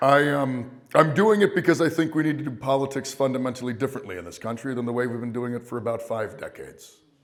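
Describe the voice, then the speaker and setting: Speaking at a very fast pace with hardly any pauses, a man shows ordinary pitch variation and big swings in loudness in a room with audible echo. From Maine (Down East, Hancock County). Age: 40s. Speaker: political candidate. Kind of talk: campaign speech. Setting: high school auditorium with audience.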